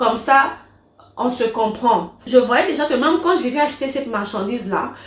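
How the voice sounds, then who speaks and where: A woman with a high pitch speaks in an animated tone at a moderate pace, with ordinary pitch variation. Room echo is audible, and there is noticeable background noise. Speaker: vlogger and online business owner. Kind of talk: casual vlog Q&A.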